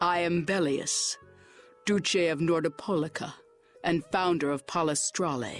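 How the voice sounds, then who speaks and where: A put-on character voice at a middle pitch and moderate pace, over faint music in the background. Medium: video game. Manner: formal, stately.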